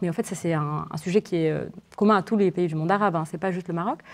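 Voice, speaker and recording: A woman speaks with a dark, mellow tone and ordinary pitch variation. The background is quiet. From Morocco. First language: Moroccan Arabic (speaking French). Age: 20s. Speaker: novelist. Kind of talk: literary interview before students. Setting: university library event with audience. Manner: halting, many repetitions and fillers.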